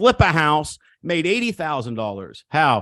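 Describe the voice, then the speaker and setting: A man speaks with an American accent in an animated tone. The background is quiet. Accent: country, rural. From Missouri. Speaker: real estate coach. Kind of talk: seminar talk. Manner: animated, emphatic.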